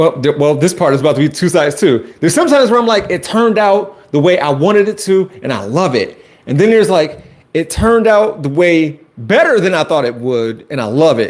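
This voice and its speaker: Loud and fairly quick, a man with an American accent speaks at a high pitch that swings very widely. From Chicago. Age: 40s. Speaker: YouTuber and high school teacher. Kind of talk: live stream chat. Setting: home basement live stream. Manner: loud, projecting. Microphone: Wi-Fi cutting out.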